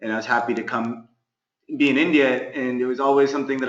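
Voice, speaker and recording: A man with an American accent talks at a fairly quick pace. He has a normal speaking voice at a medium pitch. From US West Coast, California. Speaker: sports management consultant. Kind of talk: webinar talk. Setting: online webinar. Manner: many fillers and false starts.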